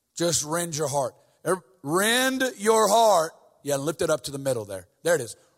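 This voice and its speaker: This man has a high-pitched voice with very wide pitch swings. His tone is animated. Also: moderate pace. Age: 40s. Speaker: guest preacher. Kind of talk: sermon. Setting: church with congregation.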